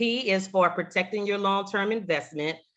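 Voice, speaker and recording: Against a quiet background, a woman with a slight Southern US accent talks at a moderate pace with ordinary pitch variation. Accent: slight Southern twang. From Louisiana. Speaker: insurance agent, Air Force veteran. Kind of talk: webinar presentation.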